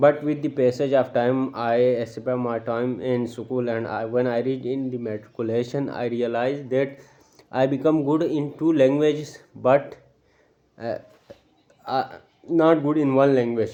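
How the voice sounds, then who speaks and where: Monotone and flat, a man's dark, mellow voice sits at a medium pitch and moves at a fairly slow pace. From Pakistan, Gilgit-Baltistan (Astore). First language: Shina. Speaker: English learning speaker. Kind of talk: talk to camera. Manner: halting.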